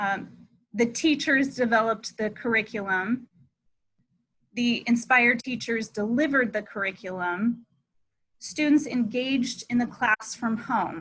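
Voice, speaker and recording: A woman, in an ordinary speaking voice, moves along at a fairly slow pace and varies her pitch in an ordinary way. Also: fairly high pitch for a woman. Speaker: school administrator. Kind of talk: virtual information meeting for parents. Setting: video call.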